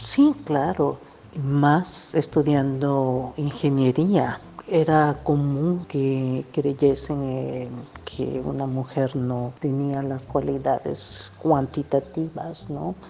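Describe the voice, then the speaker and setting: A woman's very deep, low voice at a very slow pace, with fairly even intonation and noticeable background noise. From Mexico, Veracruz (Xalapa). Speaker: environmental scientist, professor. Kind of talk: interview. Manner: halting.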